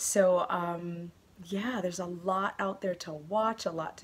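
At a fairly slow pace, a woman talks with fairly even intonation. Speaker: knitting podcaster. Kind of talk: casual vlog chat. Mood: warm, grateful. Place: home room. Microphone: phone near.

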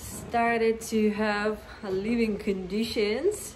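In audible room echo, a woman with a fairly high pitch speaks at a very slow pace with fairly even intonation.

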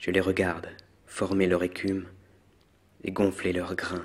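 A soft-spoken man with a very deep, low pitch, somewhat breathy, in a monotone, flat intonation at a very slow pace. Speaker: ASMR poetry reader. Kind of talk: poetry reading; ASMR.

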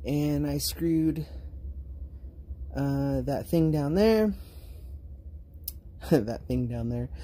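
The speech comes at a very slow pace with long, frequent pauses. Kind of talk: casual vlog chat. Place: home room. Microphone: phone near.

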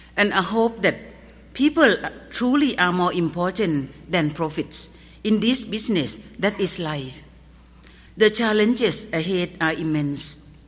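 A woman with a Thai accent talks at a fairly slow pace, her pitch medium. Her intonation is lively, and she takes long, frequent pauses. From Thailand. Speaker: pharmacist. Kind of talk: award acceptance speech. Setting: stage with audience. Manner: formal. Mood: earnest, solemn. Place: stage. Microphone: podium.

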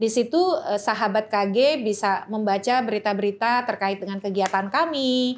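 A woman with a fairly high pitch speaks at a fairly slow pace with ordinary pitch variation in an unremarkable speaking voice. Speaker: election researcher and law lecturer; law lecturer. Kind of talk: interview. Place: studio. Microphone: studio mic.

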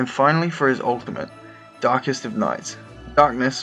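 Music plays in the background. A man speaks at a fairly quick pace and medium pitch with ordinary pitch variation. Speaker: guest presenting his own concept on a gaming video show. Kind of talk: casual, jokey presentation.

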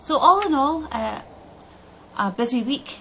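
A woman speaks in a Scottish accent with ordinary pitch variation over light background noise. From Scotland. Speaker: Scottish parliament member. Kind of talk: video diary update. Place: office. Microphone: phone near.

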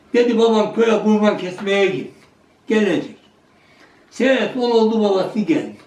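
Audible room echo surrounds a man speaking fairly slowly at a high pitch with ordinary pitch variation. Long pauses come often. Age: 80s+. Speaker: village elder. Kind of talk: storytelling.

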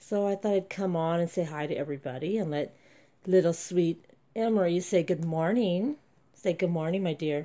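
The speaker is a woman with a fairly low pitch and a dark, mellow tone. She talks at a moderate pace with ordinary pitch variation. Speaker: reborn doll collector vlogger. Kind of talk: casual vlog. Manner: soft baby talk.

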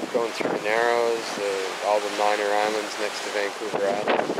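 A man speaks at a moderate pace amid loud background noise. The sound is dry, with no echo. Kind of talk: casual vlog chat. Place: boat. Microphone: phone near.

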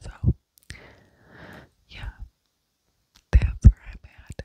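Someone is whispering, with a dry sound and no echo. Noticeable background noise is present. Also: woman. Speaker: ASMR creator. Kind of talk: whispered casual vlog chat. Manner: close cupped whisper into mic. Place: home room. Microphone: handheld.

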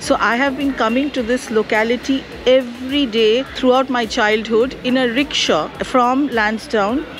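Over clear background music, a woman talks at a fairly slow pace in a high pitch. Her pitch varies in an ordinary way, and the sound is dry with no echo. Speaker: blogger. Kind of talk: casual vlog chat. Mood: nostalgic, warm. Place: cafe. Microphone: phone near.

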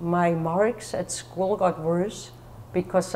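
A woman speaks in a German accent at a fairly slow pace and a fairly low pitch. Her pitch varies in an ordinary way over light background noise. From Germany. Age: 50s. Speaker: author sharing mental illness story. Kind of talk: testimony. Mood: calm, reflective personal story. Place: church.

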